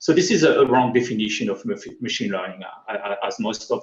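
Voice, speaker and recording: This man speaks with a strong French accent. His pitch is medium, with ordinary variation. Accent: thick French. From France. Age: 40s. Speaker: tech speaker. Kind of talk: conference talk. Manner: halting.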